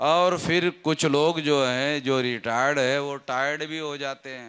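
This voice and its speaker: In an ordinary speaking voice, a man talks with a fairly high pitch and fairly even intonation on a very clean recording with a silent background. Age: 60s. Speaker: political activist leader. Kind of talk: public rally speech.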